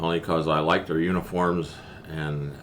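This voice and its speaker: A man's very deep, low voice with a western Pennsylvania accent, monotone and flat in intonation, at a moderate pace. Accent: western Pennsylvania American. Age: 70s. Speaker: war veteran. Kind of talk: interview. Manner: halting.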